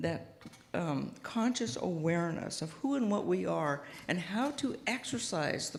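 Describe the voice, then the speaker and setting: A woman speaks at a fairly low pitch with lively intonation. Audible room echo surrounds her voice. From US Pacific Northwest, Seattle. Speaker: guest minister. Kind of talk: sermon. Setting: church with audience, PA system. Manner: soft-spoken; halting, with many fillers.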